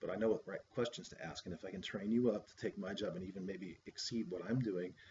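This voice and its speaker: A somewhat breathy man talks fairly quickly at a fairly low pitch with ordinary pitch variation. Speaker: graduate student presenting coursework. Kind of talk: recorded class presentation. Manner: fast; hesitant, many fillers.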